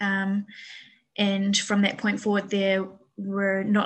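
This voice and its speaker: A woman speaks in a New Zealand accent at a medium pitch. Her voice is somewhat breathy. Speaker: bear sanctuary manager. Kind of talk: interview.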